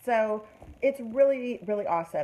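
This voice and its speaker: Dark, mellow female voice with a touch of breathiness. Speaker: nail product seller. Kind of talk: live product demo. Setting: Facebook live video. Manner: animated.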